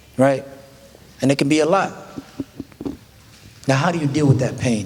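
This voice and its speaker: Moderate-paced speech from a man, noticeable background noise and audible room echo around him. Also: fairly high pitch for a man, ordinary pitch variation. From Minnesota, Minneapolis. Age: 20s. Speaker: addiction recovery speaker. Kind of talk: motivational talk to youth audience. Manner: casual, conversational.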